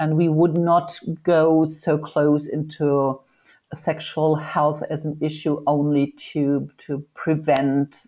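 In a German accent, a woman speaks very slowly in a very deep, low pitch with monotone, flat intonation, on a very clean recording with a silent background. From northern Germany. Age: 50s. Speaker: sexologist and foundation head. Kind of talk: interview.

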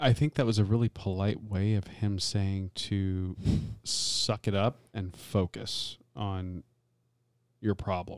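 In a very clean recording with a silent background, a man with an American accent speaks at a very slow pace and fairly low pitch, with fairly even intonation and a dry, close sound with no echo. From Tampa, Florida. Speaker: podcast co-host. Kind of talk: casual chat.

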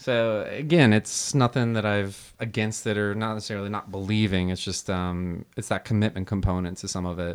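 A plain, everyday voice from a man, fairly low in pitch with ordinary pitch variation, at a fairly quick pace with hardly any pauses, on a very clean recording with a silent background. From New Jersey, US. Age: 30s. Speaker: beer sommelier. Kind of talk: casual chat.

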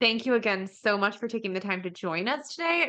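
The speaker talks at a very fast pace with ordinary pitch variation over noticeable background noise. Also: woman. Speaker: podcast host. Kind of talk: scripted intro then interview chat.

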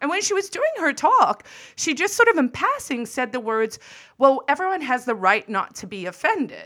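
A woman uses a raised, projected voice with a bright, sharp tone and high pitch. She keeps a moderate pace, with very wide pitch swings. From Africa. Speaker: podcast co-host. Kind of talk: casual chat.

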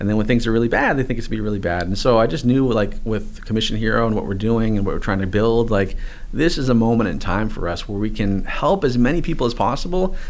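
A man with a medium-pitched voice and an American accent, very fast speech, noticeable background noise and audible room echo. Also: ordinary pitch variation, hardly any pauses. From New England, US. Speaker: online marketing course creator, former personal trainer. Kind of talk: interview.

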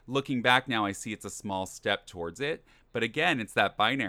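A man with a plain, everyday voice talks at a fairly quick pace. His pitch is medium and his intonation lively. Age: 30s. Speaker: podcast co-host. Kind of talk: casual chat. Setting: video call.

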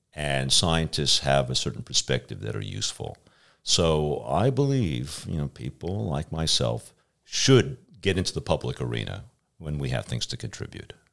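Very deep, low male pitch with very wide pitch swings, vocal fry and a moderate pace. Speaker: professor of atmospheric sciences. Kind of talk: interview conversation. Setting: studio.

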